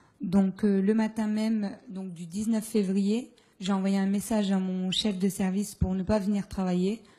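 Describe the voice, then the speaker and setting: Her somewhat breathy voice has a dark, mellow tone as the woman speaks at a fairly slow pace with monotone, flat intonation. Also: quiet background. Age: 20s. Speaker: postal worker, stroke victim; audience member. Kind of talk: testimony. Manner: halting. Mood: aggrieved, earnest. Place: hall. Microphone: handheld.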